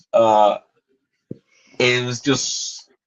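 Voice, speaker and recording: A man with a Spanish accent and a medium-pitched voice. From Guatemala. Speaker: graphic novelist. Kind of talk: interview. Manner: halting, many fillers and repetitions.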